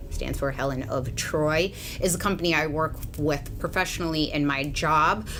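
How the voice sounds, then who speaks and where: Audible room echo surrounds a woman whose voice has a very deep, low pitch. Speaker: beauty influencer and hairdresser. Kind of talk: hair tutorial vlog. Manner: casual, chatty.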